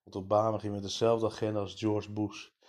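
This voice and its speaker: Dark and mellow in tone, a man's voice sits at a fairly low pitch. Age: 30s. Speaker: podcaster. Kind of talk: political monologue. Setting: early morning recording.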